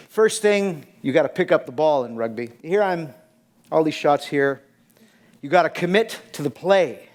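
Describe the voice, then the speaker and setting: With lively intonation and an animated tone, a man speaks at a fairly high pitch. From Canada, Quebec. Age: 60s. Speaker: fitness trainer. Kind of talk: conference talk. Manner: fast.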